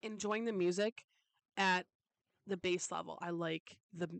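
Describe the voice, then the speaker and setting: An animated tone in a dry, close sound with no echo. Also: woman. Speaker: solo podcaster. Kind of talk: casual chat. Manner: fast.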